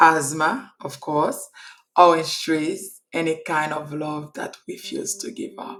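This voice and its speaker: Over music in the background, a woman with a Haitian accent and fairly low pitch speaks very slowly, her loudness swinging widely and her pitch varying in an ordinary way. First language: Haitian Creole or French. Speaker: hairstylist and entrepreneur. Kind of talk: personal storytelling.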